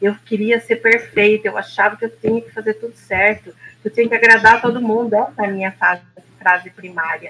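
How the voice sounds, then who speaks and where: Fairly high in pitch, a woman talks at a fairly quick pace. Her intonation is monotone and flat, while her loudness swings a great deal. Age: 60s. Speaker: therapist. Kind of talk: casual chat.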